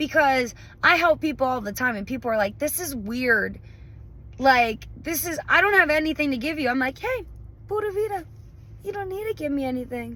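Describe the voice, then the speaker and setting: Raised and projected, a woman's high-pitched voice moves through very wide pitch swings. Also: moderate pace. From New Orleans area, Louisiana. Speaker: motivational vlogger. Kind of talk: motivational monologue. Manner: loud.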